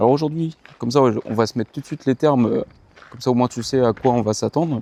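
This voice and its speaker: A man's dark, mellow voice at medium pitch, very fast, with fairly even intonation and a dry, close sound with no echo. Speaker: running vlogger. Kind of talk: casual vlog monologue. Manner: halting, hesitant.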